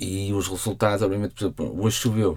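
This man's tone is dark and mellow. He talks at a fairly quick pace. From Portugal, Porto. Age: 30s. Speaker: novelist. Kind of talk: interview.

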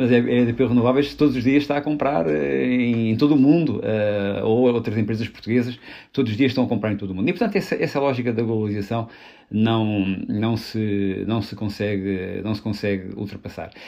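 A man with a medium pitch and ordinary pitch variation talks fairly quickly. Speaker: politician. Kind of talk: political discussion. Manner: halting.

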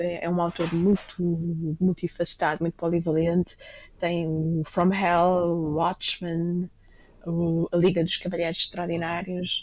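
A woman talks at a fairly slow pace in a fairly low pitch, her intonation monotone and flat. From Lisbon, Portugal. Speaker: restaurateur and book editor. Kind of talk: interview conversation.

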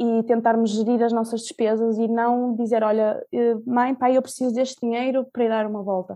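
A voice with a dark, mellow tone speaks at a moderate pace with a European Portuguese accent and a monotone, flat intonation. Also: woman, fairly high pitch for a woman. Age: 20s. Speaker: podcast guest, law graduate and traveller. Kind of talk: casual interview. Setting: at home, remote recording.

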